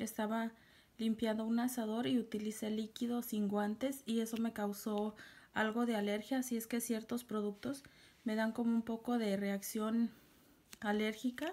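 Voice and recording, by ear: Quiet, slightly mellow speech at a moderate pace with little pitch movement. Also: woman, fairly high pitch for a woman.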